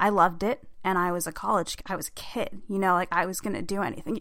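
A woman's bright, sharp tone at medium pitch and moderate pace, on a very clean recording with a silent background. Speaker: podcast host and hockey writer. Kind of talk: solo podcast monologue. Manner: hesitant, many fillers.

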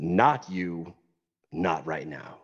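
A man puts on a character voice. It is guttural and very deep, pitched very low. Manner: curt, dismissive.

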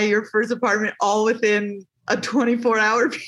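A woman speaks in a plain, everyday voice, fairly high in pitch. Her pace is fairly slow and her intonation fairly even. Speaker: podcast host. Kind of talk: casual interview.

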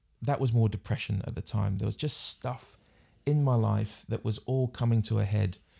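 With a New Zealand accent, a man talks at a moderate pace, his voice medium in pitch and somewhat breathy. The intonation stays fairly even, and the recording is very clean with a silent background. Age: 40s. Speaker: international development specialist. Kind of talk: casual chat.

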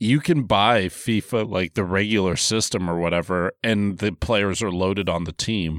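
A man's ordinary speaking voice, fairly low in pitch and fairly slow in pace, on a very clean recording with a silent background. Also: dry, close sound with no echo. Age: 30s. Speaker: podcast host. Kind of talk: casual chat.

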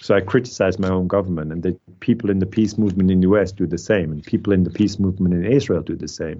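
With hardly any pauses, a man rushes along at a very fast pace in a very deep, low voice, his intonation fairly even. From Switzerland. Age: 50s. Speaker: historian. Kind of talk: interview.

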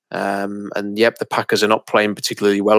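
Speaking with an English accent, a man talks at a fairly low pitch and a fairly quick pace. The recording is very clean, with a silent background and a dry, close sound with no echo. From England. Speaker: sports podcast co-host. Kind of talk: casual chat.

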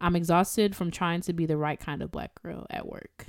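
An animated tone from a woman with a fairly low pitch. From US Midwest, Evanston, Illinois. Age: 20s. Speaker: podcast host, violist. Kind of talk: casual chat. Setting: studio.

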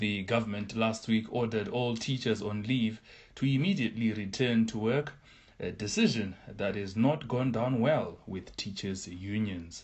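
A man speaks in a plain, everyday voice at a medium pitch. He keeps a moderate pace with ordinary pitch variation. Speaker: newsreader. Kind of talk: news reading. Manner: formal, steady, measured newsreader delivery.

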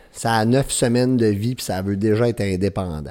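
On a very clean recording with a silent background, a man with a Quebec accent talks at a moderate pace. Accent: Québécois French. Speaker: podcast host. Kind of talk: motivational monologue. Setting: at home with baby nearby.

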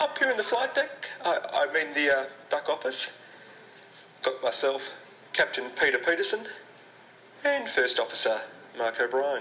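Calm tone from a man with long, frequent pauses, noticeable background noise behind him. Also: moderate pace, very even loudness. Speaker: spoof store manager announcer. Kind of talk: mock airline-style PA announcement. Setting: PA system. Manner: smooth, calm, pilot-like.

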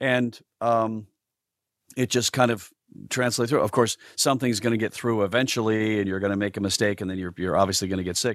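A man with an ordinary speaking voice talks at a fairly quick pace, fairly low in pitch and with fairly even intonation. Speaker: voice actor. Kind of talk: casual interview chat. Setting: remote call.

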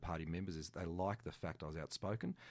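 A man with an Australian accent speaks in a very deep, low pitch. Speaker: political candidate. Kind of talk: radio interview. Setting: studio.

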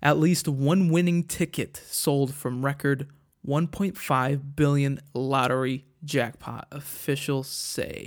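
A man with a fairly high pitch speaks at a very slow pace with hardly any pauses and fairly even intonation. The recording is very clean, with a silent background. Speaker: podcast host. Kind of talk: casual solo monologue. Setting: home recording on tablet. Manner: crude, joking.

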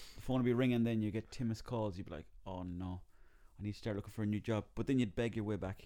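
A man's very fast, fairly low, dark and mellow voice with an Irish accent and fairly even intonation. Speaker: comedian and actor. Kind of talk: casual chat.

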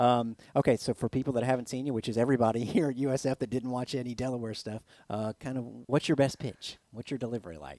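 This man has an American accent and a medium-pitched voice with a dark, mellow tone. He talks at a very fast pace with fairly even intonation. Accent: Southern, comes out at times. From Florida, Plant City. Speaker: sports radio host. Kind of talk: interview.

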